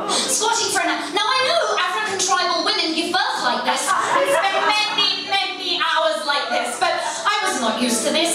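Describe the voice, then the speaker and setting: Extremely high in pitch, a woman's raised, projected voice moves at a moderate pace with hardly any pauses and very even loudness. Loud background noise and audible room echo fill the recording. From England. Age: young. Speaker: storyteller. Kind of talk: live storytelling performance. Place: hall.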